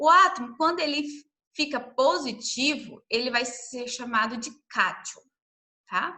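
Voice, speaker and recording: With audible room echo, a woman projects a raised voice at a high pitch with lively intonation. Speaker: science teacher. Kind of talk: lecture. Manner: slow.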